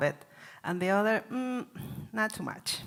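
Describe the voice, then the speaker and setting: In a Chilean Spanish accent, a woman speaks with ordinary pitch variation. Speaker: cooking class presenter. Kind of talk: cooking demonstration. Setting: in-person class with audience. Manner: halting.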